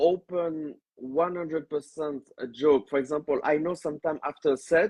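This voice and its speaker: Male speaker with a French accent, fairly high pitch, and fairly even intonation. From France. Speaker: stand-up comedian. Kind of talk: interview. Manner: hesitant, many fillers; slow when explaining.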